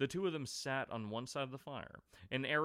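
This plain reading aloud shows ordinary pitch variation throughout.

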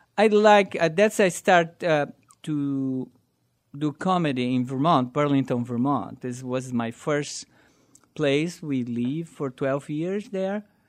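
Over a quiet background, a man with a Brazilian accent speaks very slowly at a fairly high pitch. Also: ordinary pitch variation. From southern Brazil. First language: Portuguese. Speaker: amateur stand-up comedian. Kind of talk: casual interview.

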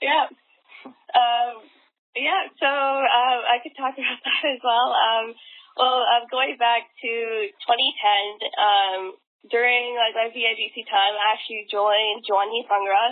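A woman with a Western Canadian accent has a high pitch and ordinary pitch variation. She speaks at a very slow pace. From Vancouver, Canada. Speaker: dancer and dance competition organizer. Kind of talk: casual interview.

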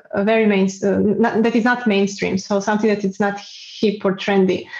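Medium-pitched woman's voice, monotone and flat, over noticeable background noise. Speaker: guest with multiple sclerosis. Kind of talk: casual interview. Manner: halting, self-correcting.

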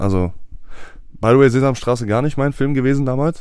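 A man's medium-pitched voice in a dark, mellow tone, at a fairly quick pace with ordinary pitch variation. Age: 20s. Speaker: podcast co-host. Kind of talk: casual chat.

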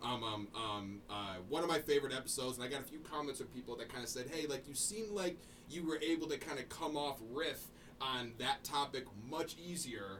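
A man with an American accent speaks at a fairly quick clip, his pitch fairly high and his intonation lively. Noticeable background noise runs under the recording. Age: 20s. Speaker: podcast co-host. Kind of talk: casual chat. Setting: studio.

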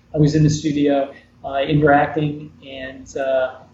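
Speaking with an American accent at a moderate pace, a man is heard over noticeable background noise. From New York. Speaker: former TV actor and artist. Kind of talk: interview. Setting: video call.

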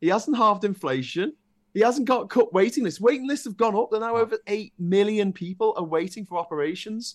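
A man with a northern English accent, high-pitched, at a fairly quick pace, against a quiet background. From northern England. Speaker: political YouTuber. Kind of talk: casual chat.

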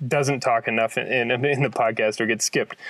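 Heard in a dry, close sound with no echo, a man with a plain, everyday voice and an American accent talks at a fairly quick pace. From Kansas. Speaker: podcast host. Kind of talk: casual interview conversation.

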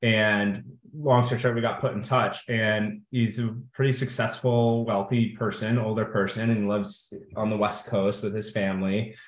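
Audible room echo surrounds this voice. Its intonation stays monotone and flat. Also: man, fairly low pitch for a man, moderate pace. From US Midwest, Kenosha, Wisconsin. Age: 30s. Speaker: Marine Corps veteran, corporate strategist. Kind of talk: interview.

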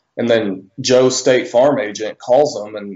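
A man is speaking. He has an American accent. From US South, Northwest Arkansas. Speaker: real estate investor and army veteran. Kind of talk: interview. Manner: hesitant, many fillers.

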